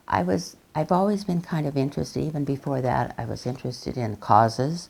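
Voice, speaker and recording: With an American accent, a woman speaks at a very deep, low pitch with vocal fry, very wide pitch swings, and a fairly quick pace. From southwestern Colorado, US. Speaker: social worker and women's rights activist. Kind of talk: oral history interview. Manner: halting, many fillers.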